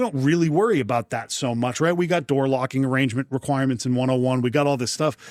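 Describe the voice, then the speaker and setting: A man with a New England accent talks at a very fast pace and a medium pitch. The sound is dry and close with no echo, and his loudness stays very even. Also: ordinary pitch variation. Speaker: fire protection executive. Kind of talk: interview.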